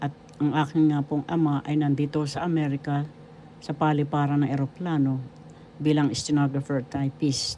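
A woman's very deep, low voice, dark and mellow in tone, with monotone, flat intonation at a moderate pace. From Philippines, Manila. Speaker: retired teacher and author. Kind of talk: inspirational monologue. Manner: polite formal.

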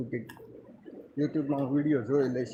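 The speaker is a man. His pitch sits fairly high. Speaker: vlogger. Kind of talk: live stream walkthrough. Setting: indoors then outdoors at a water works. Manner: casual, conversational.

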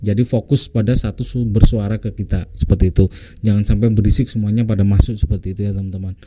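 The speech runs at a very fast pace with fairly even intonation over light background noise. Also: man, fairly low pitch for a man. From Indonesia. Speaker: YouTuber, music tutorial maker. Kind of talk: tutorial. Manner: casual, hesitant with fillers.

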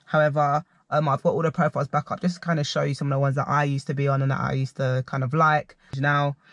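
A very fast, somewhat breathy man, dry with no echo, over a quiet background. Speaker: vlogger reviewing dating apps. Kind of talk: casual vlog chat. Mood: playful, mildly exasperated. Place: car. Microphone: phone near.

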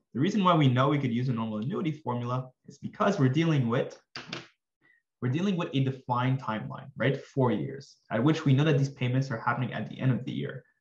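Speaking at a very fast pace, a man has a medium-pitched, somewhat breathy voice. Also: ordinary pitch variation. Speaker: finance tutor. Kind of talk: tutorial. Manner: calm.

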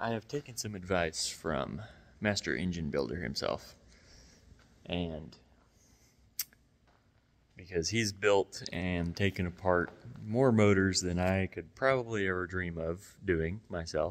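A man speaks at a fairly slow pace in a very deep, low voice. Long pauses come often. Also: ordinary pitch variation. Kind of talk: casual vlog chat. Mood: relaxed, joking. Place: garage. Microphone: phone near.

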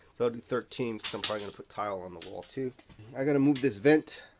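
Against light background noise, a man speaks with fairly even intonation. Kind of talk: tutorial. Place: bathroom. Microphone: phone near.

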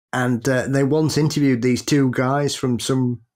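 This man has a Sheffield accent and a medium pitch. He talks at a moderate pace on a very clean recording with a silent background. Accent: British, Sheffield. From Sheffield, England. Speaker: podcast co-host.

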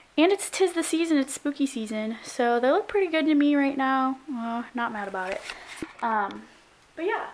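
At a moderate pace, a woman talks with a high pitch. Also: lively intonation. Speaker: college student vlogger. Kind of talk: casual vlog chat. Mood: cheerful, chatty. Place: home room. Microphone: phone near.

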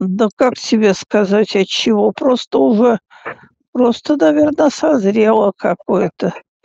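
A woman speaks at a fairly slow pace with a fairly high pitch, a dark, mellow tone, vocal fry and ordinary pitch variation, in a dry, close sound with no echo.

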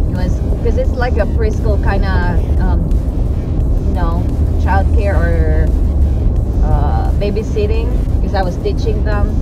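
A woman speaks at a fairly slow pace with long, frequent pauses, her voice dry and free of echo while music plays in the background. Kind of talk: casual vlog chat. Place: car. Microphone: phone near.

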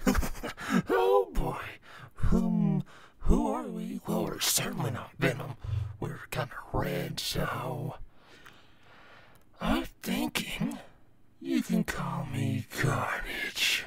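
Using a put-on character voice, a man speaks raspily at a fairly high pitch and a very slow pace, with long, frequent pauses. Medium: voice reel.

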